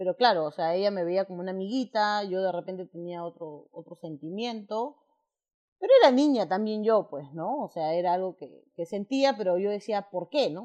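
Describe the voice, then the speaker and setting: The voice has a dark, mellow tone, lively intonation and big swings in loudness at a moderate pace. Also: woman, medium pitch for a woman. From Peru. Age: 40s. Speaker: interviewee sharing coming-out story. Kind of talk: personal testimony interview. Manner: halting, repetitive fillers.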